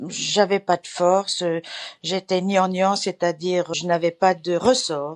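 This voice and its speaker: Dry and close with no echo, the recording holds a woman of medium pitch speaking at a very slow pace with fairly even intonation. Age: 80s+. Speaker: client giving a testimonial. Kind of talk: testimony. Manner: halting, many hesitations.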